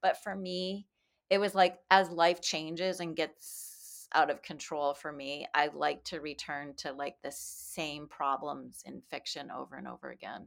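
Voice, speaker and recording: The recording is very clean with a silent background, and the voice carries vocal fry. Delivery is fairly slow and fairly even in intonation, with big swings in loudness. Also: woman, very deep, low pitch for a woman. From Canada. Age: 50s. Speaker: novelist and creative writing professor. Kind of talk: casual interview.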